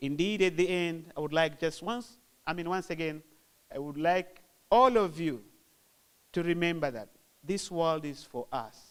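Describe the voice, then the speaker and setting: In a Zanzibar accent, a man speaks at a high pitch with ordinary pitch variation. His pace is moderate, broken by long, frequent pauses. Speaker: government official. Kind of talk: formal speech.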